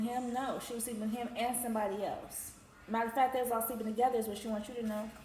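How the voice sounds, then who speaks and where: A woman's fairly high-pitched voice at a very fast pace, with audible room echo and noticeable background noise. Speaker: tarot reader. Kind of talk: tarot reading. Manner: animated.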